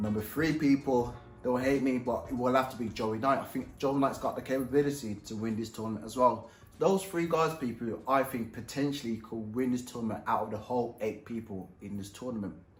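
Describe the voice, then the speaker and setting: A man talks at a fairly quick pace with ordinary pitch variation, and audible room echo is heard. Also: medium pitch for a man. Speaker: professional boxer and YouTuber. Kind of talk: casual vlog commentary. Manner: animated; mumbling.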